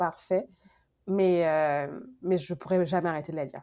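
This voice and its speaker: A woman's dark, mellow tone at a medium pitch comes through a very clean recording against a silent background. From Guadeloupe. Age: 30s. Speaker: book blogger, graduate student. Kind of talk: casual interview. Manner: halting, many repetitions and fillers.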